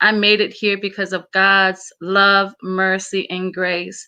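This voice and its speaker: A woman, very slow, with monotone, flat intonation. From Samoa. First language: Samoan. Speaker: motivational speaker. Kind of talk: interview.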